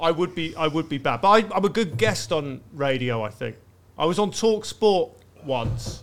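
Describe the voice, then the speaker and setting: Speaking at a moderate pace with a southern English accent, a man uses a fairly high pitch and very wide pitch swings. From Brighton, southern England. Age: 30s. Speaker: comedian. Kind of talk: casual chat.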